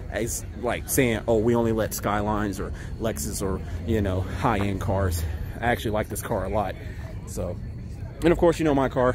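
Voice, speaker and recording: Against crowd noise in the background, a man with a fairly low pitch speaks at a moderate pace with lively intonation and long, frequent pauses in a dry sound with no echo. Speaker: car team host. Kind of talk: casual vlog chat. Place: street. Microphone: phone near.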